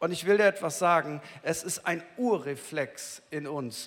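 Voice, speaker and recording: Vocal fry runs through a man's voice. He talks at a very slow pace with lively intonation. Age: 50s. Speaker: pastor. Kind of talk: sermon. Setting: church. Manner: conversational, addresses listener directly.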